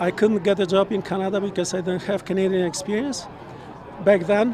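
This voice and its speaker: A man with a Polish accent speaks with a high pitch and fairly even intonation. Noticeable background noise comes through. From Poland. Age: 60s. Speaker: interviewee at a political rally. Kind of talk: street interview.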